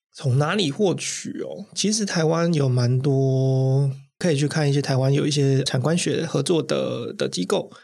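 A somewhat breathy man with a fairly high pitch and ordinary pitch variation speaks at a fairly slow pace with hardly any pauses, on a very clean recording with a silent background. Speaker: influencer marketing manager. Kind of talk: interview.

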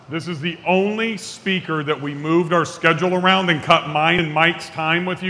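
A man with a high voice speaks with ordinary pitch variation over noticeable background noise. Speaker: event organizer. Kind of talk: stage introduction. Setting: stage with audience.

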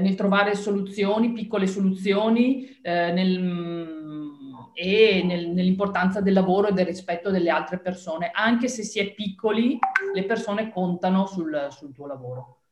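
A woman with a Venetian accent, medium pitch, ordinary pitch variation and a fairly slow pace. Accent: northeastern Italian (Veneto). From northeastern Italy (Triveneto). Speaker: marketing and communication expert. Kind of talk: interview. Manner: hesitant, with fillers.

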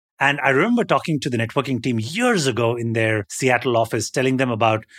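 A normal speaking voice from a man, medium pitch, ordinary pitch variation and fairly quick pace, dry and close with no echo on a very clean recording with a silent background. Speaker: podcast co-host.

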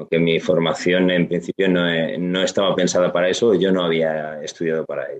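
Speaking at a moderate pace, a man uses a very deep, low voice. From Asturias, Spain (Gijón). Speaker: finance consultant and trainer. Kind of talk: interview.

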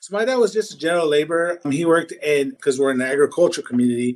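Ordinary pitch variation runs through a man's speech in an American accent. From Washington state, US Pacific Northwest. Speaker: cleaning company founder. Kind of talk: casual chat.

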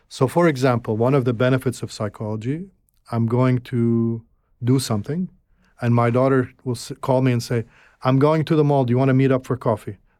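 In an Arabic accent, the speaker talks at a fairly quick pace with a dark, mellow tone and fairly even intonation. The recording is very clean, with a silent background. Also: man. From Egypt (Alexandria), moved to Canada at 12. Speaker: filmmaker and broadcasting executive. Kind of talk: interview conversation.

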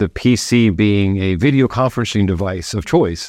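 Speaking at a moderate pace with an American accent, a man with a fairly low voice uses ordinary pitch variation against a quiet background. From US South, Florida. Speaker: tech executive. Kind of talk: interview. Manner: halting, many fillers.

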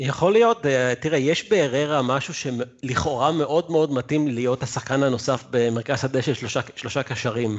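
This is a man with a normal speaking voice at a medium pitch. He speaks at a moderate pace with ordinary pitch variation and hardly any pauses. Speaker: football fan guest. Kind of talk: casual chat. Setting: video call.

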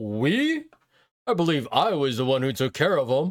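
Fairly high-pitched yet gruff, a man speaks at a moderate pace on a very clean recording with a silent background. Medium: actual play. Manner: boastful, gruff, angry.

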